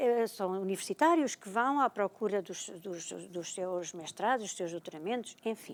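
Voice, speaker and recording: Her intonation lively and her pace moderate, a woman talks in a plain, everyday voice. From Portugal, Oeste region (Bombarral). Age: 60s. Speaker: retired librarian and storyteller. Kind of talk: TV talk show interview.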